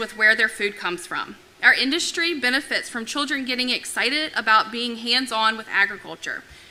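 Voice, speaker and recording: Loud and high-pitched, a woman talks at a moderate pace with ordinary pitch variation over noticeable background noise. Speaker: agricultural council president. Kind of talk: prepared remarks.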